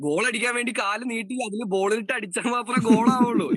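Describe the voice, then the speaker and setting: A man speaks in a raised, projected voice that sits high in pitch. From Kerala, Palakkad. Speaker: radio jockey and podcaster. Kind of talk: casual interview chat.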